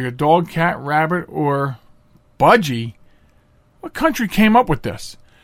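Using a normal speaking voice, a man speaks at a moderate pace. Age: 40s. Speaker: radio talk show host. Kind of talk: solo talk radio monologue. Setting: studio.

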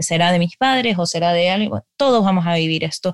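A woman's normal speaking voice, fairly low and fairly quick, with a dry, close sound and no echo. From Ecuador. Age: 30s. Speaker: novelist. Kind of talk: interview.

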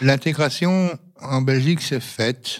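This man talks with ordinary variation in his pitch. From Yugoslavia (Roma), raised in Belgium from age 5. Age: 60s. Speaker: retiree. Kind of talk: interview testimony.

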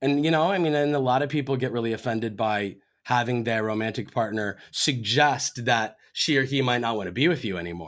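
Here a man speaks in a normal speaking voice at a medium pitch. His pace is fairly quick, and his pitch variation is ordinary. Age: 40s. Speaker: relationship coach and author. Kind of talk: casual chat.

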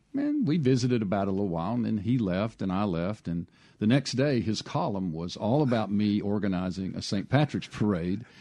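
With a Mississippi accent, a man speaks at a fairly quick pace. His voice is fairly low and dark and mellow in tone, with ordinary pitch variation. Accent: US Southern (Mississippi). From Mississippi Piney Woods (Hattiesburg, Wiggins). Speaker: arts administrator and restaurateur. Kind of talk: interview. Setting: radio studio.

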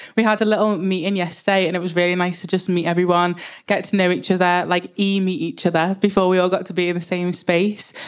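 A woman with a Liverpool accent talks at a medium pitch in a monotone, flat intonation. Her pace is very fast, with hardly any pauses. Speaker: panel moderator. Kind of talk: panel moderation.

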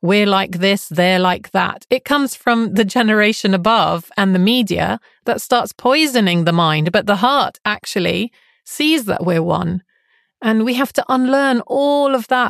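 In a plain, everyday voice, a woman talks fairly slowly at a fairly high pitch with lively intonation and very even loudness, the sound dry and close with no echo. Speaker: life coach and podcast host. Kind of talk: interview, conversational.

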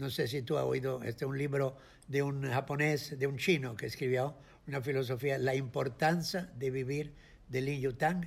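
Somewhat breathy and fairly high in pitch, a man speaks at a fairly slow pace with fairly even intonation. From Italy, Florence. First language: Italian (speaking Spanish). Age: 80s+. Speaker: photographer and film director. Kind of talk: interview. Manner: halting.

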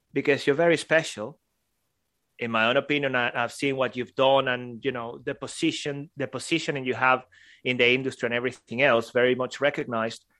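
Against a quiet background, a man with a non-native accent talks fairly quickly in a fairly high voice with a bright, sharp tone. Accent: foreign-accented English. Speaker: podcast co-host. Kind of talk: casual chat.

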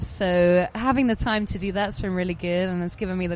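A woman with an unremarkable speaking voice, fairly low in pitch, with fairly even intonation at a fairly quick pace. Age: 30s. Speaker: DJ. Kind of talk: casual chat. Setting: festival backstage, seated on sofas.

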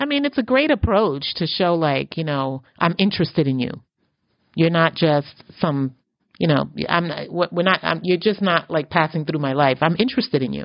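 With an unremarkable speaking voice, a woman talks at a moderate pace, her fairly low pitch carrying lively intonation. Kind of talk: casual chat.

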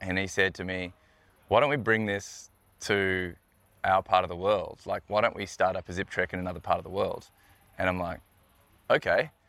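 Speaking with an Australian accent, a man with a very deep, low pitch and a bright, sharp tone talks at a moderate pace with long, frequent pauses on a very clean recording with a silent background. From Australia, Melbourne. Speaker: tourism business owner. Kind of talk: interview. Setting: outdoors.

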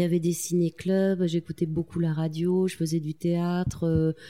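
A woman speaks with a fairly low pitch and a dark, mellow tone. Her pace is fairly slow. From France, Corrèze (Tulle). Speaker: magazine co-founder and journalist. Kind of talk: interview conversation. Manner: halting, with repetitions and fillers.

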